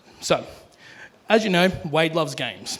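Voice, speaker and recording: A loud voice with an Australian accent moves at a moderate pace. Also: man. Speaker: best man. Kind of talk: wedding speech. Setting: wedding reception.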